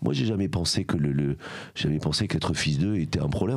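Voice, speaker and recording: A man with a strong southern French accent speaks at a moderate pace. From southern France, Aveyron. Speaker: former journalist, charity founder. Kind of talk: podcast interview. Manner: fillers, hesitant 'euh'.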